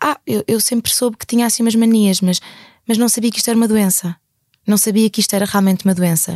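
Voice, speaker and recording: A woman talks at a very fast pace with a fairly high pitch and a dark, mellow tone. Her pitch varies in an ordinary way, and the sound is dry and close with no echo. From Portugal, Algarve. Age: 20s. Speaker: interviewee sharing lived experience of OCD. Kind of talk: testimony.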